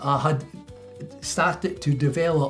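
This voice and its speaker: Music plays in the background as a man with a Scottish accent speaks very slowly at a fairly high pitch. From Scotland, Milton of Campsie. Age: 90s. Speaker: retired dairy farmer. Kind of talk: interview answer.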